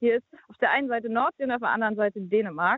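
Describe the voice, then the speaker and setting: A woman's high voice at a fairly quick pace. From northern Germany near Denmark. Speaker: church volunteer. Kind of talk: interview. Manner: hesitant with fillers.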